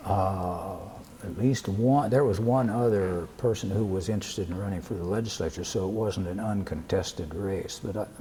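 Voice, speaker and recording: With an American accent, a man of fairly low pitch talks at a moderate pace with ordinary pitch variation over noticeable background noise. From US Midwest, Wisconsin. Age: 80s+. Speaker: retired legislator. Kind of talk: oral history interview. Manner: halting, hesitant.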